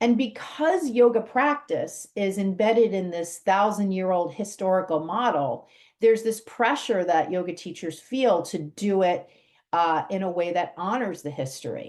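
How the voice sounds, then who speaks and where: Over a quiet background, a woman speaks in an unremarkable speaking voice at a medium pitch and a moderate pace, with lively intonation. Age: 60s. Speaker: podcast host and yoga teacher trainer. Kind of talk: podcast monologue.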